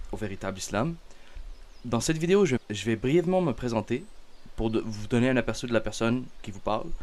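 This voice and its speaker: A man with a Canadian French accent, lively in intonation, at a moderate pace with long, frequent pauses. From Canada. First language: Arabic (speaking French). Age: 20s. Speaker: religious content creator. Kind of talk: self-introduction monologue. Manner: halting, many fillers.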